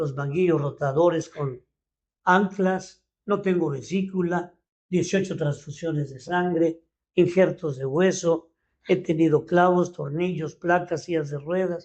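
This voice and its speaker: A man's high-pitched voice, fairly slow in pace, with fairly even intonation. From Mexico City. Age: 70s. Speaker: leadership coach. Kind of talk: podcast interview. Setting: studio.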